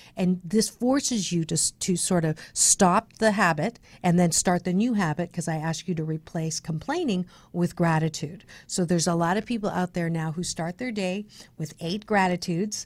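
A woman's normal speaking voice, fairly low in pitch with ordinary pitch variation, at a moderate pace with an American accent. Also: very clean recording, silent background. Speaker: radio host and speaker. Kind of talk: casual radio interview. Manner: upbeat, positive.

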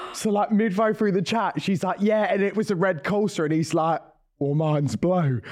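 A man speaks in an Essex accent. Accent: Essex English, still kept. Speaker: podcast co-host. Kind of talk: casual chat.

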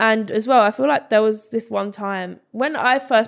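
A woman speaks in an English accent. The recording is very clean, with a silent background. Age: 20s. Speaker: social media creator. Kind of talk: casual chat.

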